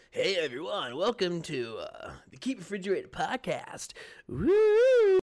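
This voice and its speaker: A put-on character voice delivered at a fairly slow pace. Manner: hyped, upbeat, exaggerated.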